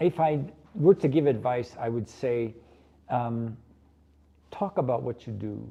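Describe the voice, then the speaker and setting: A man with an American accent, medium pitch, a dark, mellow tone and a somewhat breathy quality, lively intonation at a very slow pace. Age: 70s. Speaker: pastry chef. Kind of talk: interview.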